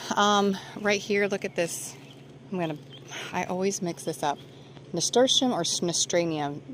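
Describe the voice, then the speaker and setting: Over noticeable background noise, the speaker moves at a moderate pace with ordinary pitch variation and long, frequent pauses. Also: woman, medium pitch for a woman. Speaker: gardening vlogger. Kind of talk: garden tour. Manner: casual, filler-heavy.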